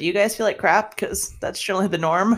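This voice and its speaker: A woman talks at a fairly quick pace in a plain, everyday voice of medium pitch. Her intonation is fairly even, and the recording is very clean with a silent background. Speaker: podcast co-host. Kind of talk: casual chat.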